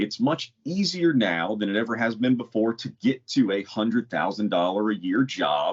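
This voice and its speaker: With a normal speaking voice, a man at medium pitch talks at a moderate pace with lively intonation and hardly any pauses. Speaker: podcast co-host. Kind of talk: casual podcast chat.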